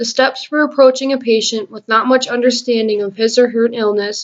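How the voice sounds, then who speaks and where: The pace is moderate as a woman talks. Her intonation is fairly even. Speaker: nursing student. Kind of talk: class presentation. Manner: reading from script.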